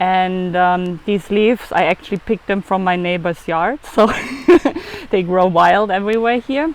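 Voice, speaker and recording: With a German accent, a woman speaks at a medium pitch and with ordinary pitch variation. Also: moderate pace. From Germany. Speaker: food photographer and raw food chef. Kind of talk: cooking demonstration. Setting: outdoors on a beach.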